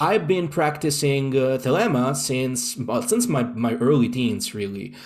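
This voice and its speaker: Lively intonation from a man with an Italian accent at a medium pitch, a very slow pace, and audible room echo. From Italy, Rome. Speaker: occultist. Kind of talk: interview. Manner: halting.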